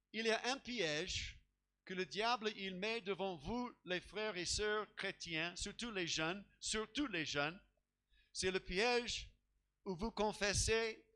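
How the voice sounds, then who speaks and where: With an English accent, a man speaks in a raised, projected voice at a very slow pace. His pitch is high with ordinary variation, and his tone is bright and sharp. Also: long, frequent pauses. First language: English (speaking French). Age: old. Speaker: pastor. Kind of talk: sermon. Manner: halting, with many repeated words.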